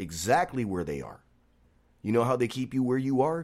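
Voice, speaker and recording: A plain, everyday voice speaks at a moderate pace with lively intonation. The recording is very clean, with a silent background. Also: man. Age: 40s. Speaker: barbershop owner. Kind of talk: casual chat.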